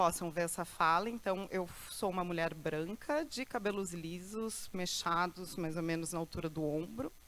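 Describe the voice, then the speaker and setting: With an ordinary speaking voice, a woman talks at a fairly slow pace with hardly any pauses, a fairly low pitch and ordinary pitch variation. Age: 40s. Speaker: lecturer. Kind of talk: lecture.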